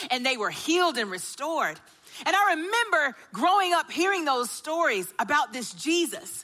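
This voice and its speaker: Over noticeable background noise, a woman with a Southern US accent speaks in a raised, projected voice with lively intonation. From US South, Augusta, Georgia. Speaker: church care and baptism director. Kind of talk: sermon.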